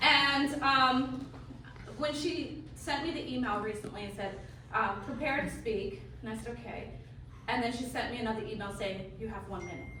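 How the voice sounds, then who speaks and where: Against noticeable background noise and audible room echo, a woman talks at a moderate pace. Her fairly high voice has lively intonation. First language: Geechee. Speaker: award recipient, community advocate. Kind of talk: acceptance speech. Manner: hesitant, many fillers.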